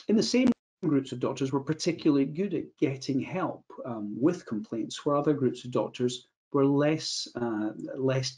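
Here a man speaks at a moderate pace and medium pitch, his slightly mellow tone carrying a slightly husky edge and ordinary pitch variation.

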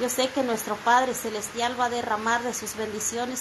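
Amid noticeable background noise, a woman talks at a moderate pace with monotone, flat intonation. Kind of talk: heartfelt thanks and religious testimony. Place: home room. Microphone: phone near.

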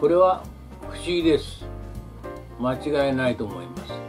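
A man speaks with lively intonation at a fairly high pitch. Clear music plays in the background. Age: 70s. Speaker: elderly vlogger. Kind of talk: casual talk to camera. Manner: polite, leisurely. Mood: calm, wry, reflective. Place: home room. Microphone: camera far.

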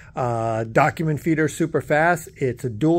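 Ordinary pitch variation from a male speaker. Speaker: equipment salesperson. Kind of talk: pitchman sales pitch, walk-around product demo. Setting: showroom, filming the machine while walking around. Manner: enthusiastic, pushy urgency. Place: shop. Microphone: phone near.

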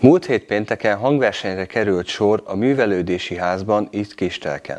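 A man talks in a normal speaking voice at a moderate pace. His pitch is fairly low, with ordinary variation. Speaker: local TV announcer. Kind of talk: news reading. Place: studio.

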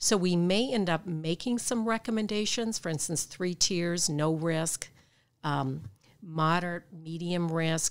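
A woman speaks at a fairly slow pace with a Midwestern American accent, her pitch fairly low and her pitch variation ordinary. The recording is very clean, with a silent background. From Michigan, US Midwest. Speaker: clinical psychologist and professor. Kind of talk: interview. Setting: hotel room.

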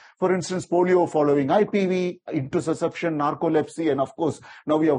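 A dark, mellow tone moves with ordinary pitch variation. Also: man. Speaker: vaccine safety expert. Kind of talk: lecture. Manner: fast talker; animated. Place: hall.

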